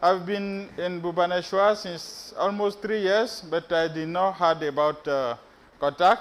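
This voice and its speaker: Speaking at a fairly slow pace, a man with a West African accent uses a high pitch with ordinary pitch variation. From Benin, West Africa. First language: French. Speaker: PhD researcher, conference speaker. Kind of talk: conference presentation. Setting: stage with audience. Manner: hesitant, many fillers.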